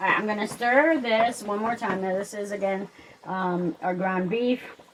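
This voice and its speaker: Fairly high female speech at a moderate tempo, its pitch moving in an ordinary way, with noticeable background noise behind it. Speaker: home cook. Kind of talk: cooking tutorial. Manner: loud; casual, with many fillers. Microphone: microphone cut out, sound may be poor.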